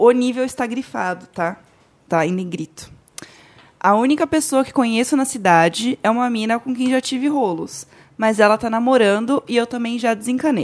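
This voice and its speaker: An unremarkable speaking voice from a woman, fairly high in pitch, with lively intonation at a moderate pace. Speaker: podcaster guest. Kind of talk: casual chat.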